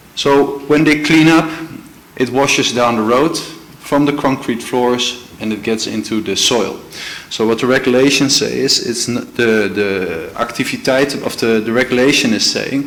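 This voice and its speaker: Speaking with a Dutch accent, a man talks at a moderate pace and a medium pitch with ordinary pitch variation. Audible room echo and noticeable background noise surround him. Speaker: legal advisor. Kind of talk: formal presentation to a committee. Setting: council committee meeting. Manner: halting, many fillers and restarts.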